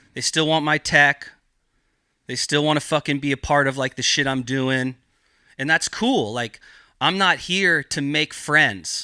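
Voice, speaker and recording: In a very clean recording with a silent background, a man with an American accent speaks at a fairly high pitch with ordinary pitch variation, taking long, frequent pauses, the sound dry and close with no echo. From Northern California, Mendocino County. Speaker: cannabis cultivator. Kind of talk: casual podcast interview.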